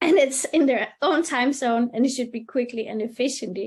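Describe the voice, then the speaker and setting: A woman with a Danish accent speaks in a high pitch. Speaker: webinar moderator. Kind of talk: webinar panel discussion. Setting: online webinar.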